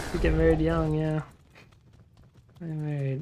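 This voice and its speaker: A man speaks with a Utah accent. Noticeable background noise runs under his voice. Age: 20s. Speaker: video game streamer. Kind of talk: casual chat. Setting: live stream.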